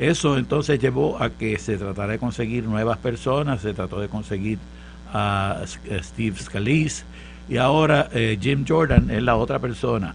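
A man at a fairly low pitch with very wide pitch swings and a fairly slow pace, faint music in the background. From Puerto Rico, Santurce; Puerto Rico. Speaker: professor and political panelist; professor, panelist. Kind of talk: political panel discussion. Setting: studio. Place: studio. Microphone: studio mic.

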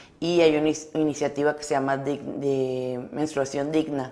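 A woman talks with a very deep, low pitch. Her delivery is monotone and flat at a fairly slow pace. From Mexico, Sonora (Álamos); Sonora, Mexico. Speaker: educational psychologist; guest. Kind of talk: interview. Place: studio. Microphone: lapel.

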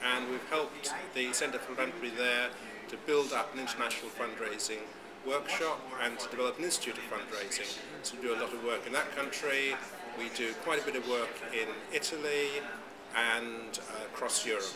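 A man talks at a fairly quick pace with ordinary pitch variation over loud background noise. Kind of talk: interview answer. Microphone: phone near.

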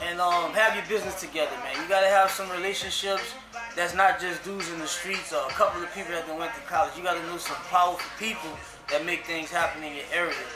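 A man talks at a very fast pace in a raised, projected voice. Clear music plays in the background. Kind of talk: interview answer. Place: shop.

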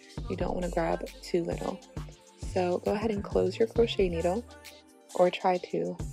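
Music plays behind a woman talking at a moderate pace. She takes long, frequent pauses. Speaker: hair tutorial creator. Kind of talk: hair tutorial talk to camera.

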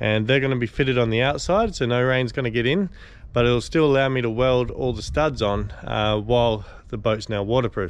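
Dry sound with no echo carries a man speaking at a moderate pace. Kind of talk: casual vlog chat. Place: open country. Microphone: phone near.

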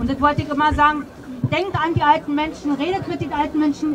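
Against crowd noise in the background, a woman talks at a fairly quick pace with a high pitch. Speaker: speaker. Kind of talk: open mic speech; public speech. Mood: earnest, emotional appeal. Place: street.

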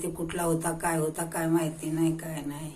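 A woman with fairly low pitch, amid noticeable background noise. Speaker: grandmother. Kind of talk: oral storytelling of village memories.

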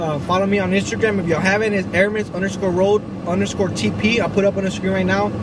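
A man speaks very fast in a dry sound with no echo, noticeable background noise behind him. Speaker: vlogger. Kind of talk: casual vlog chat. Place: car. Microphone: phone near.

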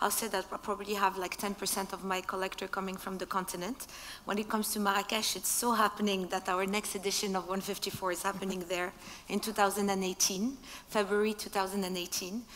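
Over light background noise, a woman talks at a moderate pace with monotone, flat intonation. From Morocco. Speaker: art fair director; speaker. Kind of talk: panel discussion. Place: stage. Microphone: headset.

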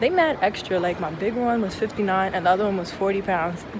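Noticeable background noise sits behind a woman's voice, and the sound is dry, with no echo. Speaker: traveler vlogger. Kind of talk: casual vlog chat. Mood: annoyed, venting about baggage fees. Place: station. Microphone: phone near.

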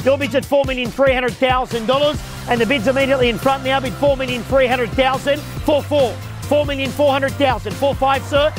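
Over clear music in the background, a man speaks very fast in a dry recording with no echo. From Australia. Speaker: auctioneer. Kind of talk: live property auction call. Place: street.

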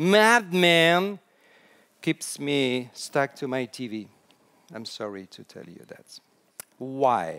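A man's voice in a French accent with very wide pitch swings over a quiet background. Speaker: storytelling consultant. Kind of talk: conference talk. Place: hall.

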